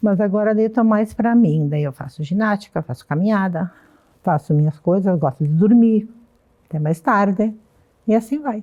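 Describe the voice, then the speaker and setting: At a moderate pace, a woman speaks in a medium pitch with a dark, mellow tone and lively intonation. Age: 70s. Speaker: retiree, senior hip hop dancer. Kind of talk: documentary interview.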